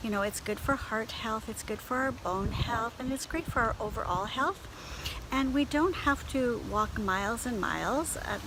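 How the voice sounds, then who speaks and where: In a Canadian accent, a woman speaks at a moderate pace. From Canada. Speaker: beauty and lifestyle blogger. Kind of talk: casual talk to camera. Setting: outdoors.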